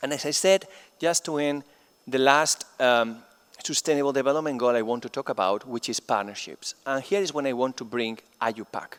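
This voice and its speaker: With a Spanish accent, a man talks at a fairly quick pace with ordinary pitch variation, the sound dry and close with no echo. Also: medium pitch for a man. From Spain. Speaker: chemistry professor. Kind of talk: plenary lecture.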